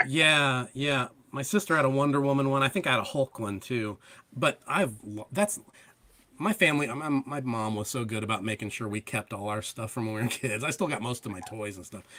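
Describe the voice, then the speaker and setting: Lively intonation and a bright, sharp tone mark this man's medium-pitched voice at a fairly quick pace. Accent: American. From Ohio. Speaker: comic book creator. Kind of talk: casual chat.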